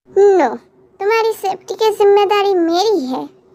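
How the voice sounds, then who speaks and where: A squeaky put-on character voice at a fairly slow pace. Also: woman, extremely high pitch for a woman, ordinary pitch variation. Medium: read story. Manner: blunt.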